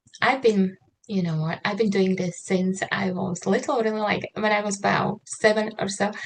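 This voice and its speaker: Speaking with a Slovak accent, a woman keeps a fairly slow pace. Her intonation is fairly even. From Slovakia. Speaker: trauma-informed writer and mentor. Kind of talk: online interview. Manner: hesitant, many fillers.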